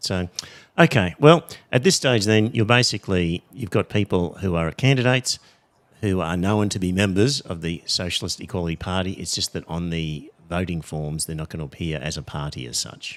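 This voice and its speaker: A man with an Australian accent speaks at a moderate pace in a very deep, low pitch, his intonation lively. The recording is very clean with a silent background. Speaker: podcast host. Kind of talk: podcast interview.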